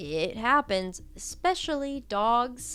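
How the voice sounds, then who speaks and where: A woman with an American accent and ordinary pitch variation, music playing in the background. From Ohio, US Midwest. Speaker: YouTuber. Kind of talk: casual commentary vlog.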